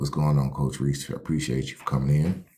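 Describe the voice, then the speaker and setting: The man's pitch is very deep and low. His tone is dark and mellow. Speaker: life coach hosting a livestream. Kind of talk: motivational livestream talk. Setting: live stream. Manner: fast.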